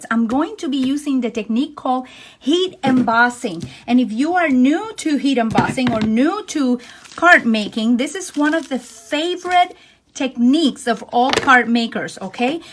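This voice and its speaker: The speaker's intonation is lively, and there is noticeable background noise. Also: woman, high pitch for a woman, moderate pace. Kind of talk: friendly instructional, craft tutorial.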